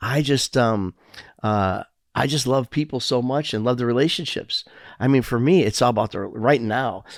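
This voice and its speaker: Recorded very cleanly against a silent background with a dry, close sound and no echo, a man speaks at a medium pitch and moderate pace in a Chicago accent. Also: ordinary pitch variation. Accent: Chicago American English. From Chicago, US Midwest. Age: 60s. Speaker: entertainment and food business owner, community leader. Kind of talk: casual interview chat. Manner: halting, many fillers and restarts.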